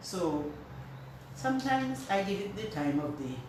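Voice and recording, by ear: A woman with a low pitch speaks at a moderate pace, and room echo is audible.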